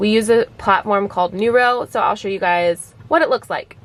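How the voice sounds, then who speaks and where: A woman's unremarkable speaking voice at medium pitch, moderate pace and ordinary pitch variation. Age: 20s. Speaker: virtual special education teacher. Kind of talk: tutorial. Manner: casual, with many fillers.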